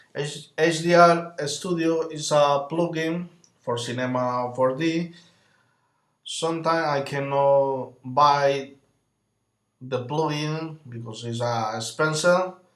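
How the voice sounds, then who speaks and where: At a very slow pace, a man speaks in a fairly high voice with ordinary pitch variation. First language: not English. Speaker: software tutorial creator. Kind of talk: tutorial. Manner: halting, with frequent fillers.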